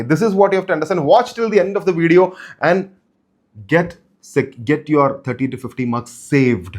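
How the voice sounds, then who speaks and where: This man's fairly high pitch shows ordinary pitch variation. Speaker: chartered accountant and exam coach YouTuber. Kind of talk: motivational exam advice talk. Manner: fast; unscripted, repetitive.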